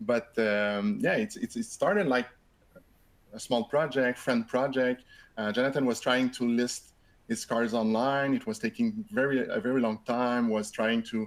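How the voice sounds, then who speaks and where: A man with a French Canadian accent at a medium pitch and fairly slow pace, with ordinary pitch variation. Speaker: software company co-founder. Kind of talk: webinar presentation. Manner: halting, many repetitions.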